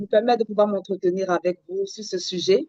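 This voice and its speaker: A woman's dark, mellow, fairly high-pitched voice in a dry, close sound with no echo. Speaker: parenting counselor trainee. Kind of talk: online training presentation. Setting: video call.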